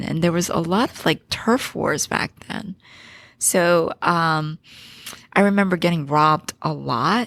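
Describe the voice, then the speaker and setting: In a Philadelphia accent, the speaker goes at a fairly slow pace with ordinary pitch variation. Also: woman. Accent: American, Philadelphia area. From Philadelphia, Pennsylvania, US (born in Korea). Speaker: business founder and CEO. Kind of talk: podcast interview.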